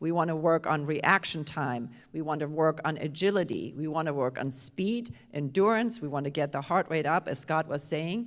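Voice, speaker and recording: Speaking with a German accent, a woman uses a very deep, low pitch and lively intonation on a very clean recording with a silent background. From Germany. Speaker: panel moderator, Parkinson's specialist. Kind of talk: panel discussion at live symposium.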